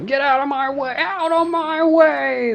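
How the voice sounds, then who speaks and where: A high-pitched, put-on character voice comes through clear background noise. The pace is fairly slow. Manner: urgent, commanding.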